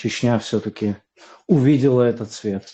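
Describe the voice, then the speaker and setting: At a very slow pace, a man with a medium pitch and a dark, mellow tone speaks with ordinary pitch variation. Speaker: voice chat participant. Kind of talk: congratulatory speech in an online voice chat. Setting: online voice chat. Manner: hesitant, with fillers.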